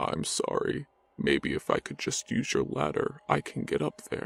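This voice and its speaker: At a moderate tempo, a man delivers his lines in a put-on character voice. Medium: read story. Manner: dazed, distant, unhurried.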